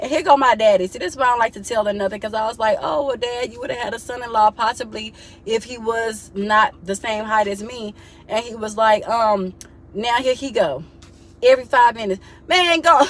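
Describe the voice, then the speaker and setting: Against noticeable background noise, a woman speaks at a fairly quick pace in a fairly high pitch. Her pitch variation is ordinary, and her loudness swings widely. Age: 30s. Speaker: vlogger. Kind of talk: casual vent to camera. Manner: animated.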